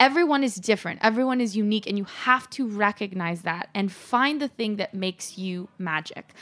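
Lively in intonation, a woman talks with an animated tone. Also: medium pitch for a woman, fairly quick pace, hardly any pauses. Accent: Californian. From Los Angeles. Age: 30s. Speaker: entrepreneur. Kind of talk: interview.

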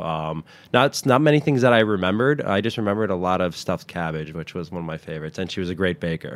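With an American accent, a man speaks at a very fast pace. His voice is very deep and low, with ordinary pitch variation. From New Jersey, Westwood. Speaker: chef. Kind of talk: interview. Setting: outdoor garden studio.

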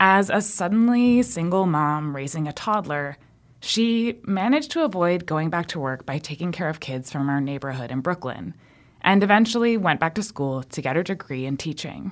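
A woman with an unremarkable speaking voice talks at a moderate pace and fairly low pitch with lively intonation. The recording is very clean with a silent background. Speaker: radio producer. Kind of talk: scripted narration.

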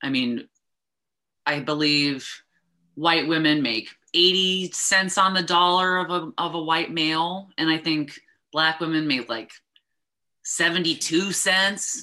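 A woman speaks in an American accent, pitched fairly low with a bright, sharp tone and ordinary pitch variation. Her pace is very slow, with long, frequent pauses. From United States. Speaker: cannabis consultant. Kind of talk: interview.

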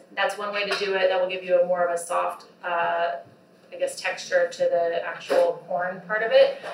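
A woman with an American accent, amid noticeable background noise and audible room echo. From Texas (Austin). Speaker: food business founder. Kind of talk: casual interview while cooking.

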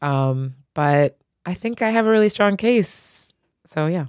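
A woman with an American accent and ordinary pitch variation, in a dry, close sound with no echo and a very clean recording with a silent background. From California. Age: 30s. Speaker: playwright and actor, litigant. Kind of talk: casual chat. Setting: studio. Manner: chatty.

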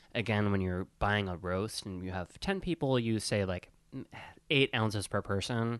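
An ordinary speaking voice: a man with an American accent, fairly low in pitch with ordinary pitch variation, at a moderate pace. The sound is dry and close with no echo, over a quiet background. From US Midwest, Wisconsin. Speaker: podcast co-host, service industry worker. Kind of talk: casual chat. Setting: studio.

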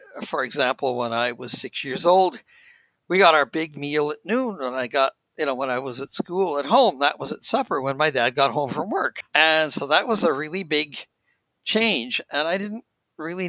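Delivered at a moderate pace with a Canadian accent, the speech has a bright, sharp tone, lively intonation and a dry, close sound with no echo. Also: man, fairly high pitch for a man. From Saskatchewan, Canada. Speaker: retired conference interpreter. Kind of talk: interview.

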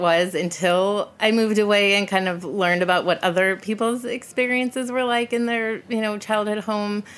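A woman with an American accent speaks at a fairly quick pace with a medium pitch and ordinary pitch variation. She hardly pauses, and there is noticeable background noise. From US Midwest (Chicago area). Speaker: former intelligence analyst. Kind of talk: casual interview.

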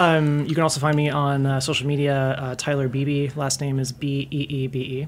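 A woman talks at a fairly quick pace in an American accent, her pitch very deep and low. Her intonation stays monotone and flat against noticeable background noise. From Tallahassee, Florida, US South. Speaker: former bartender. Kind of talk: casual chat. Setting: studio.

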